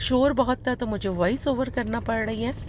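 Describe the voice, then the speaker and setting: A woman speaks with vocal fry. Her pace is moderate and her pitch variation ordinary. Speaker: vlogger. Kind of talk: casual vlog voice-over. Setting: voice-over recorded later. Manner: fumbling words.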